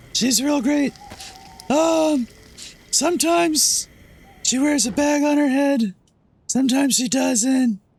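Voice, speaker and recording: Using a put-on character voice with an extremely high pitch, a man speaks at a fairly slow pace with long, frequent pauses. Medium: machinima. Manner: friendly, refers to itself in third person.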